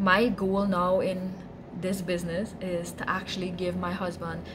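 Over clear background noise, a woman speaks at a fairly low pitch with little pitch movement.

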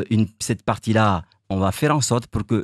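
Against a quiet background, a man speaks fairly slowly at a fairly low pitch with ordinary pitch variation, and the sound is dry with no echo. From Mayotte. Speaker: mayoral candidate; election candidate. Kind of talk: interview. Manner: halting. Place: studio. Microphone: studio mic.

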